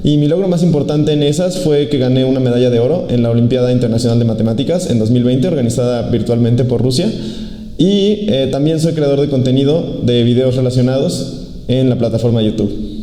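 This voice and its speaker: In a Mexico City accent, a man of medium pitch talks at a fairly quick pace with ordinary pitch variation and very even loudness, amid noticeable background noise and audible room echo. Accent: Mexican Spanish (Mexico City). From Mexico, Mexico City. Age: 20s. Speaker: former math olympiad competitor and content creator. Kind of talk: interview monologue. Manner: halting, many fillers and self-corrections.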